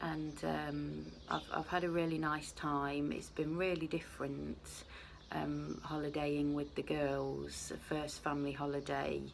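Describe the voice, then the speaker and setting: Audible room echo surrounds speech delivered rather slowly. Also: woman. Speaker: vlogger. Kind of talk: casual vlog chat. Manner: soft-spoken; hesitant.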